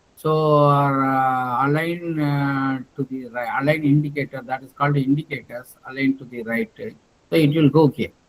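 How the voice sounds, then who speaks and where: Talking at a fairly slow pace with hardly any pauses, a man with a fairly high pitch keeps his intonation fairly even while his loudness swings widely. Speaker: professor. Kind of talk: lecture. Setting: video call. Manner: halting.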